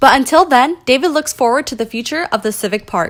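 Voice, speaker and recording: A woman speaks in a high voice. Her pace is fairly quick. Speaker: news reporter. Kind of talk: TV news report.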